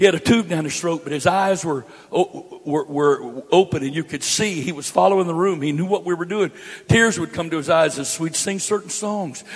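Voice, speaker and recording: A man with an American accent and a high pitch speaks at a moderate pace over noticeable background noise. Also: ordinary pitch variation. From US, grew up moving around as a Navy child. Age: 60s. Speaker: pastor. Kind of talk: sermon. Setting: church. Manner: emphatic, repetitive.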